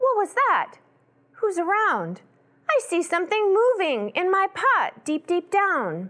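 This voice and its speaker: Using a put-on character voice, a woman talks at an extremely high pitch at a fairly slow pace with very even loudness. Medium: read story. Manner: expressive, exclamatory.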